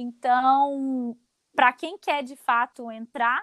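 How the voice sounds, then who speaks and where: A woman's high voice on a very clean recording with a silent background. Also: dry, close sound with no echo. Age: 20s. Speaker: fashion content creator. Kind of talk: casual interview.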